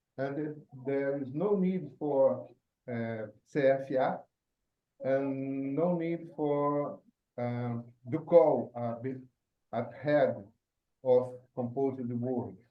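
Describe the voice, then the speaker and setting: A man with a Portuguese accent speaks at a very slow pace, leaving long, frequent pauses. His pitch is fairly high, with ordinary pitch variation. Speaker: forth programmer asking a question. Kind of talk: Q&A in online meeting. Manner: halting, hesitant.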